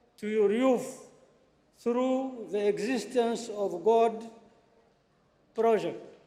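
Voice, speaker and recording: Extremely high for a man, his pitch holds fairly even intonation at a very slow pace with long, frequent pauses and audible room echo. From Niger. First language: French. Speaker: visiting foreign politician. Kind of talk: formal address. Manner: halting.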